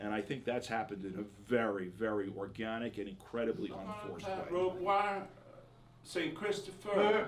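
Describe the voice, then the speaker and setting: A man talks at a fairly quick pace with very wide pitch swings. Noticeable background noise runs underneath. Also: medium pitch for a man. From Australia. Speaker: band member. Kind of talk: interview.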